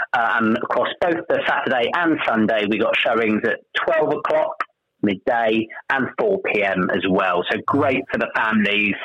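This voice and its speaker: A plain, everyday voice at a moderate pace, with lively intonation and very even loudness. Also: man, medium pitch for a man. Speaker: amateur pantomime cast member. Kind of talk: friendly radio interview, chatty and promotional. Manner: warm, upbeat and conversational, with frequent 'um' fillers.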